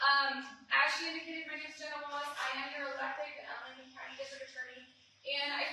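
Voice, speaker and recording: At a very fast pace, a raised, projected voice comes through noticeable background noise and audible room echo. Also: woman. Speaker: district attorney. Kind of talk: public presentation at town hall. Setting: town hall meeting with audience. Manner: many filler ums.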